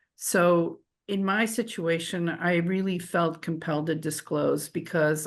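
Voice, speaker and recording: This woman's pitch is very deep and low, with vocal fry. Her intonation is fairly even. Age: 60s. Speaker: medical educator. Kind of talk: panel presentation.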